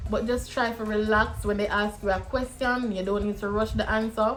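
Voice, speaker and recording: A woman speaks at a fairly high pitch, with a Jamaican accent. Music plays in the background. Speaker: YouTuber, visa program vlogger. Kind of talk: casual vlog advice.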